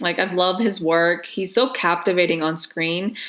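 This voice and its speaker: Amid noticeable background noise, a woman talks at a medium pitch. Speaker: film reviewer. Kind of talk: video review. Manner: animated.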